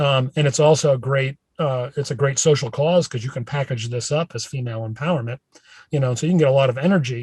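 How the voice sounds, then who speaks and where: In a dry, close sound with no echo, a somewhat breathy man of medium pitch speaks at a very fast pace with fairly even intonation. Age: 60s. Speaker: professor of branding. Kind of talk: casual interview. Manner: many fillers, conversational.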